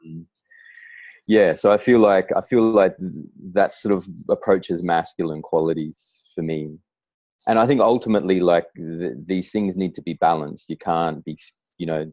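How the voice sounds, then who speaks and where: A man with an Australian accent speaks at a moderate pace in a very deep, low pitch, his dark, mellow tone showing ordinary pitch variation and big swings in loudness. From Australia, Darwin. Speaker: writer and poet. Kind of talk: casual interview conversation. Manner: halting, many fillers and restarts.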